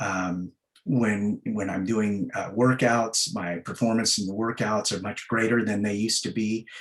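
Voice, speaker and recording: A man's fairly low-pitched voice, with fairly even intonation and a fairly slow pace. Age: 60s. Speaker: executive and fitness coaching client. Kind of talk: interview testimony. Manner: hesitant, many fillers and repeats.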